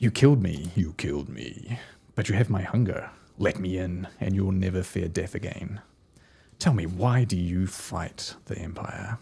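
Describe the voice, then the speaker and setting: Whispering man in a put-on character voice at a moderate pace. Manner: menacing, whispering.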